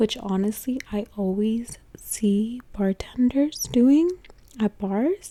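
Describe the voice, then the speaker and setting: A soft-spoken woman with fairly high pitch and ordinary pitch variation. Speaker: ASMR content creator. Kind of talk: vlog-style narration to camera, ASMR.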